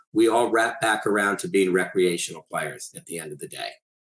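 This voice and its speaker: With an American accent, a man at medium pitch talks at a fairly quick pace. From Connecticut, US. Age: 60s. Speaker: tennis coach and author. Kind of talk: interview.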